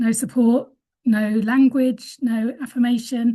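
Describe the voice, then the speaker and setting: With a British accent, a woman speaks in a dark, mellow tone at a fairly high pitch, her intonation fairly even. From UK. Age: 50s. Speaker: webinar panellist. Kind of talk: conversational webinar testimony. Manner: halting, many fillers and restarts.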